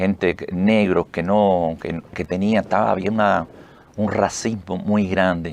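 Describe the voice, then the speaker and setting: A fairly slow pace with fairly even intonation. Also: man. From Cuba, Pinar del Río. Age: 70s. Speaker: retired army officer, heart transplant association president. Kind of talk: interview. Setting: radio studio. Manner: halting.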